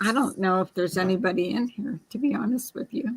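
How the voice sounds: A put-on character voice, hoarse and raspy, rushes along at a very fast pace with ordinary pitch variation. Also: woman, fairly high pitch for a woman.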